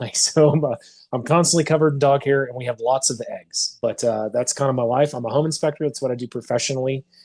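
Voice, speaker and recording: A man speaks very fast in an American accent, his pitch fairly high. His voice is somewhat breathy, with fairly even intonation. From US South, Arkansas (Fort Smith area). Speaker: home inspector. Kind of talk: testimony. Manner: halting.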